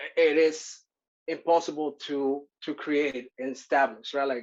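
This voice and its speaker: Delivery comes at a fairly slow pace. A Spanish accent colors the words. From Mexico (Acapulco, Guerrero). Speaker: workshop presenter. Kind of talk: workshop presentation. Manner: halting, many fillers.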